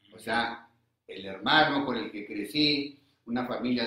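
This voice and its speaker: A man with a normal speaking voice talks with fairly even intonation. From northern Mexico, Coahuila and Monterrey. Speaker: recovering alcoholic, AA member. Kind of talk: personal testimony.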